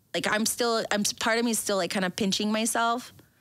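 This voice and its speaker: A woman's fairly high voice at a fairly quick pace. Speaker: business owner. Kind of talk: interview. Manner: animated.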